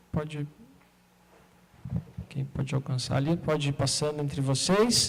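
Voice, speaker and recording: A man with a fairly high voice talks fairly slowly, his pitch rising and falling in an ordinary way. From southern Brazil, Porto Alegre. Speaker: artist and researcher giving a talk. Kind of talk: talk at an art event, partly reading aloud.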